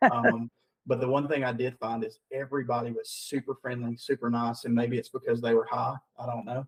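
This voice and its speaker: At a fairly quick pace, a man speaks at a medium pitch in a monotone, flat intonation, with a dry, close sound and no echo. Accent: Southern US. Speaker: podcast host. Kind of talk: casual chat. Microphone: mic too quiet or too hot.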